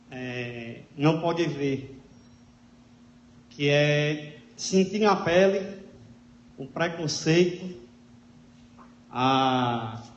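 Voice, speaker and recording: A man with a fairly high pitch speaks at a very slow pace, with long, frequent pauses. Audible room echo surrounds his voice. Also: ordinary pitch variation, big swings in loudness. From Natal, Rio Grande do Norte, Brazil. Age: 30s. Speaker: public speaker sharing life story. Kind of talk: talk to an audience.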